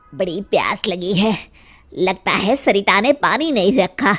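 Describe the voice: Cartoonish character voice, female-sounding and medium-pitched, at a fairly slow pace.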